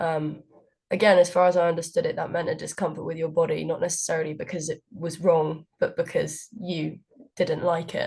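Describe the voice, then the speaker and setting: Speaking at a fairly quick pace, a woman has a southern English accent. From England, Cambridge. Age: 20s. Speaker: student society president. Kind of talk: interview. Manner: hesitant, many fillers.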